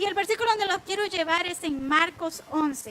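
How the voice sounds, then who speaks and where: A woman's raised, projected voice carries ordinary pitch variation. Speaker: women's ministry Bible teacher. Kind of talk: online Bible teaching program.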